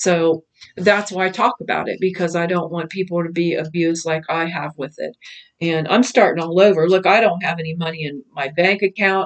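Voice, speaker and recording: A woman speaks at a fairly quick pace in a fairly low voice. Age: 60s. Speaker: cult survivor. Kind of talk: testimony. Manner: animated.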